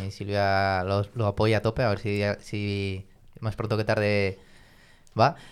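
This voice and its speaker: A man with a fairly low voice speaks very slowly and flatly in a monotone, leaving long, frequent pauses, in a very clean recording with a silent background. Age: 30s. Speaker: engineer, parishioner. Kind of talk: casual chat. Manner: halting, with frequent repetitions.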